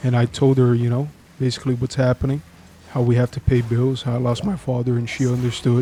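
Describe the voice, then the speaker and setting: A somewhat breathy, medium-pitched male voice at a fairly quick pace. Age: 20s. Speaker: vlogger telling his life story. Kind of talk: personal testimony vlog. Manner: halting, with stumbles and fillers.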